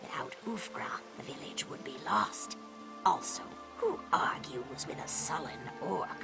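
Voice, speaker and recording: Someone whispers in a put-on character voice over clear background noise. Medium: video game. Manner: measured, proverbial.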